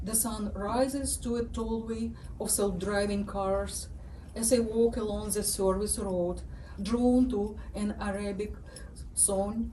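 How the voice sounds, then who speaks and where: With a strong Ukrainian accent, a woman speaks very slowly in a flat, monotone medium pitch, amid noticeable background noise and audible room echo. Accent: thick Ukrainian. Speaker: writer. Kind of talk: reading aloud.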